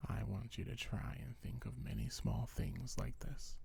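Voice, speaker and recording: Whispering in a gentle tone at a fairly slow pace. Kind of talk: ASMR comfort roleplay. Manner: soft-spoken, gentle.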